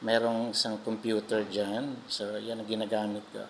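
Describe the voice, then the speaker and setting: The man's voice sits at a medium pitch. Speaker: vlogger and restaurant singer. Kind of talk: casual vlog walkthrough. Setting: restaurant. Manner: halting, many fillers.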